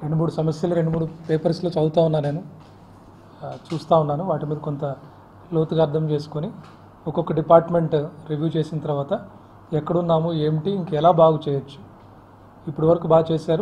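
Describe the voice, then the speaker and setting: This man's voice is dark and mellow, pitched fairly high, with flat, monotone intonation. Light background noise sits behind him. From Vijayawada, Andhra Pradesh, India; Andhra Pradesh, India. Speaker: district collector. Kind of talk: press interview. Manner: halting. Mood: calm, measured. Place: office. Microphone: handheld.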